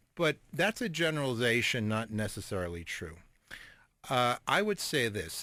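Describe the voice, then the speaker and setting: Recorded very cleanly with a silent background, a man of medium pitch speaks at a moderate pace with very wide pitch swings. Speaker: hypnotist and author. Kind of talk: radio interview answer.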